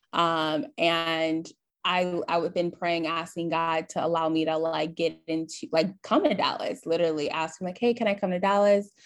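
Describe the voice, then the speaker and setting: Here a woman speaks with an American accent at a moderate pace. Her pitch is fairly low and her intonation fairly even. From Michigan, Flint. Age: young. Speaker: entrepreneur and social media strategist. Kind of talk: casual interview. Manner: halting, many fillers.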